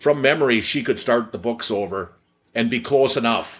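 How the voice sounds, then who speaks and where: A Wisconsin accent at a moderate pace, with ordinary pitch variation. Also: man. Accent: Upper Midwest (Wisconsin). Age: 60s. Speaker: cheese maker, business owner. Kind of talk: casual interview. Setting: factory office with work noise. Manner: halting, many repetitions and fillers.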